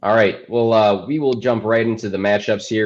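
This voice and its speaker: With a quiet background, a man with an American accent and a fairly low pitch talks at a fairly quick pace in a plain, everyday voice. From Illinois. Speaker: fantasy football podcast host. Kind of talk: casual sports chat. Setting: live stream.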